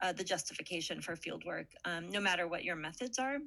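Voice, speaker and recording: This woman has an American accent and a bright, sharp tone. She talks at a moderate pace and a medium pitch. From United States. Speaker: political scientist. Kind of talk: panel talk.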